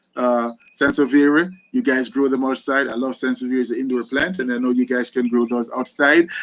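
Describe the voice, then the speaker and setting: A man with a fairly high pitch and a Jamaican accent. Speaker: gardening YouTuber. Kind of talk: live stream Q&A. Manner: animated.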